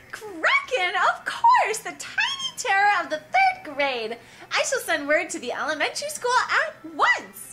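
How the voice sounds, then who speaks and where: A woman's put-on character voice, extremely high-pitched, with very wide pitch swings at a moderate pace. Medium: game stream. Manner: haughty, imperious.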